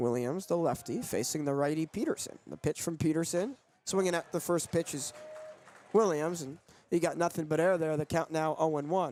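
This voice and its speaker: Crowd noise fills the background as a man speaks at a moderate pace. His pitch is fairly high, with ordinary variation. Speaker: sportscaster. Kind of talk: radio baseball play-by-play.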